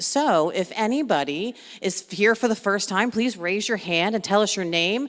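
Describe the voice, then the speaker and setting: A woman speaks loudly at a medium pitch. Her pitch swings very widely. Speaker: meeting facilitator. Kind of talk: community meeting introduction.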